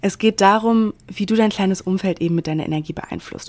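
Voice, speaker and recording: A woman at medium pitch, moderate pace and ordinary pitch variation. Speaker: podcast host, self-development coach. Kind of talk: solo podcast monologue. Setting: hotel room in quarantine.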